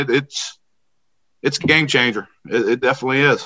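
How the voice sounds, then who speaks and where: A man with an American accent, a bright, sharp tone and a fairly quick pace. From southwestern Pennsylvania. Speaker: high school football coach. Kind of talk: casual interview.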